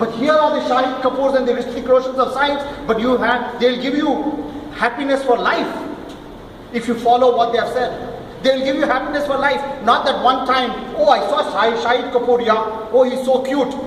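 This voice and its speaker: A man speaks loudly with an extremely high pitch. Noticeable background noise and audible room echo surround him. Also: moderate pace. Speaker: school founder. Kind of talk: speech to students. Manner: animated.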